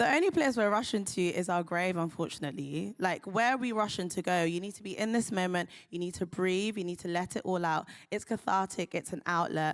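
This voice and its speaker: Fairly quick speech from a woman at a medium pitch, on a very clean recording with a silent background. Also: ordinary pitch variation. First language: not English. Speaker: doctor. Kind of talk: live panel talk.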